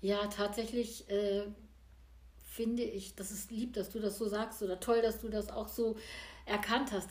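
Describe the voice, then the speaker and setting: Audible room echo surrounds a woman whose fairly high pitch stays in a monotone, flat intonation. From small village in Germany. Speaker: painter and musician. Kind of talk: casual interview. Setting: artist's studio at home.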